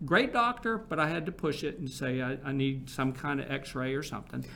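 A man's bright, sharp voice sits at a fairly high pitch, moving at a fairly quick pace with lively intonation. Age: 60s. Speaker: marketing agency founder and cancer patient. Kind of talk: interview.

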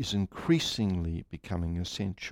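In a calm tone, a man speaks fairly slowly. The sound is dry and close with no echo. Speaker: meditation group leader. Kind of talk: guided meditation. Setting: live group meeting broadcast online. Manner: slow, calm, measured; formal, solemn.

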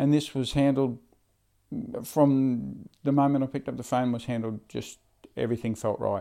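With an Australian accent, a man at medium pitch talks at a moderate pace in a dark, mellow tone, his intonation fairly even and broken by long, frequent pauses. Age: 50s. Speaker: charter pilot. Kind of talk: interview. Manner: halting.

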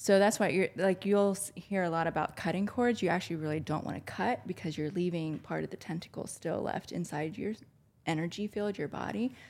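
Her voice is an unremarkable speaking voice. This woman talks at a fairly low pitch with ordinary pitch variation. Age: 40s. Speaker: spiritual healer. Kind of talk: casual chat.

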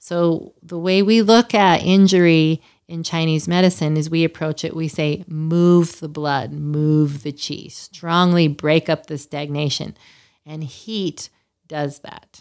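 A woman with an American accent and a fairly low pitch speaks at a very slow pace with fairly even intonation and big swings in loudness. The recording is very clean, with a silent background. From Utah, US. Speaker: acupuncturist and massage therapist. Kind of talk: interview.

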